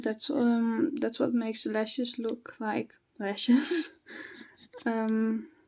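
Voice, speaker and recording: A woman with a fairly high pitch and a slight non-native accent speaks at a very slow pace. Her pitch varies in an ordinary way, broken by long, frequent pauses. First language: not English. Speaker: hobby artist, new video creator. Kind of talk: casual draw-along chat. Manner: halting, with fillers and self-corrections.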